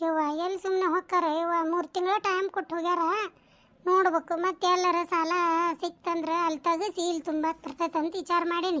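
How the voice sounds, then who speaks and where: A woman does a cartoonish character voice, extremely high-pitched and monotone, at a fairly slow pace with very even loudness. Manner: brash, fast-talking.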